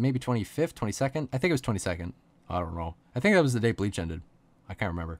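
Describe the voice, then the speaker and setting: In a very clean recording with a silent background, a man with a fairly low pitch speaks very fast in an animated tone with very wide pitch swings. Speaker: YouTuber and podcast host. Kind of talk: casual chat. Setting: podcast recording. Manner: halting.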